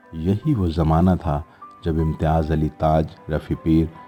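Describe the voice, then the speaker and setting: Music plays in the background under fairly even intonation. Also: man. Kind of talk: documentary narration.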